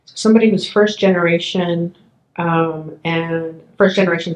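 A woman with a plain, everyday voice talks at a fairly low pitch, her intonation fairly even. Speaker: history professor. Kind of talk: oral history interview. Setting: in person.

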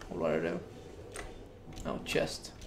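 There is noticeable background noise in this clip. A man speaks over it at a moderate pace. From Denmark. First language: Danish. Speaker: gaming streamer. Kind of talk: live gameplay commentary. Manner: casual, thinking aloud. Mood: relaxed, mildly frustrated. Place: home room. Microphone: studio mic.

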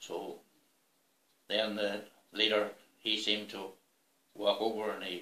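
A man with a Northern Irish accent, fairly low in pitch, in a flat monotone, with audible room echo. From Northern Ireland, Fermanagh. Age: 70s. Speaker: retired farmer, school bus driver, former soldier. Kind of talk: personal memoir interview. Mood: calm, measured storytelling. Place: home room.

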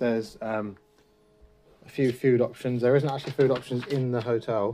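The man's voice carries a dark, mellow tone. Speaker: travel vlogger. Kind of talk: casual vlog chat. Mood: relaxed, mildly positive review. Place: home room. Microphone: phone near.

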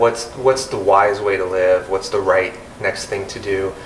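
A man speaks at a fairly slow pace in a room with audible echo and light background noise. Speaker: interview guest. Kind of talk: interview answer. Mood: calm, reflective. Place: home room.

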